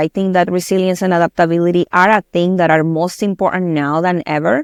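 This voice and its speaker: A woman with a Spanish accent speaks at a fairly quick pace and medium pitch, in a very clean recording with a silent background. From Colombia. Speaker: tech company director. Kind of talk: podcast interview.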